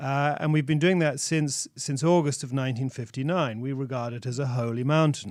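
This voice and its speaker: With an English accent, a man talks at a fairly high pitch and fairly even intonation on a very clean recording with a silent background. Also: fairly quick pace, hardly any pauses. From England. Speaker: religious minister. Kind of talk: radio interview. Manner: halting.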